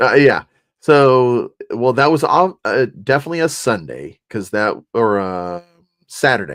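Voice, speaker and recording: Lively intonation marks this man's medium-pitched voice as he talks at a fairly slow pace. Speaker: co-host of a sports card chat show and ballpark PA announcer. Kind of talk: casual chat. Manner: loud.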